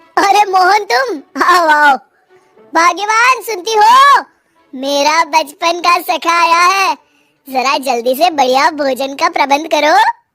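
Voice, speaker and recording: A woman's cartoonish character voice at an extremely high pitch and a fairly slow pace, over faint music in the background. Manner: smug, scheming.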